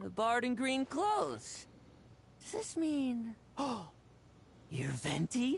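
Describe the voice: A woman's put-on character voice, fairly high, with very wide pitch swings, vocal fry, and a very slow pace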